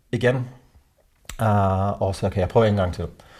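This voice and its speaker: A man speaks with a dark, mellow tone. He sounds somewhat breathy, and his pitch variation is ordinary. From South Africa. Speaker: men's organisation co-founder. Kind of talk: interview. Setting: at home. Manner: halting.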